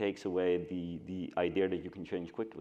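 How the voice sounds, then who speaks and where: This man's pitch is very deep and low. His tone is dark and mellow, and he keeps a moderate pace. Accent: Scandinavian. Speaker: agency co-founder, panelist. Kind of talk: panel discussion.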